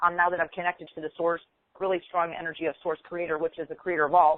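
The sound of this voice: Spoken fast in an American accent, the voice shows little pitch movement. The sound is dry and close, with no echo. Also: woman, fairly low pitch for a woman.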